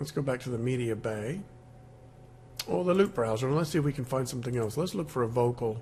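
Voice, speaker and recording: A man's medium-pitched, dark, mellow and somewhat breathy voice at a very fast pace, with lively intonation and long, frequent pauses. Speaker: music software tutor. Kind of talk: screen-recorded software tutorial. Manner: casual, halting with fillers.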